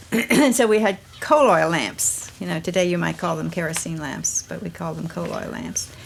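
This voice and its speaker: The speaker talks with an American accent and hardly any pauses. Noticeable background noise can be heard. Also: woman, moderate pace. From US, southern Maryland. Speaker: family member in documentary. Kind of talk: reminiscing interview.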